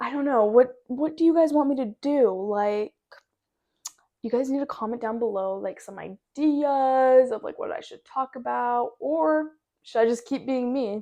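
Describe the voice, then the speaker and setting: A woman with a West Coast American accent talks at a fairly slow pace, her high-pitched voice dark and mellow in tone. Her pitch varies in an ordinary way while her loudness swings widely. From US Pacific Northwest, Washington. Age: 20s. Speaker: podcaster. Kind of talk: casual chat. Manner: words jumbled together.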